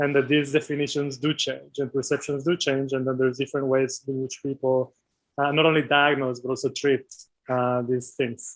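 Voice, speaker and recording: Speaking at a fairly quick pace, a man has a non-native accent. His medium-pitched voice is monotone, with flat intonation. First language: not English. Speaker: doctoral researcher in medical anthropology. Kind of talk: interview. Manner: hesitant, many fillers.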